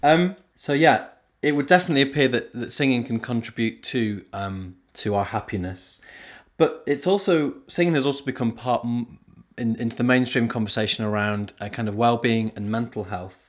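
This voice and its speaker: Speaking with an unremarkable speaking voice, a man uses lively intonation at a medium pitch and a moderate pace. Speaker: podcast host and singing leader. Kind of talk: podcast interview.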